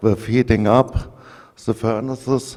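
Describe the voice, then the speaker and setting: A man's fairly low voice has a dark, mellow tone, fairly even intonation and a very slow pace. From Germany. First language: German. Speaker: engineer presenting at an industry conference. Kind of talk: technical presentation. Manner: halting, with frequent fillers.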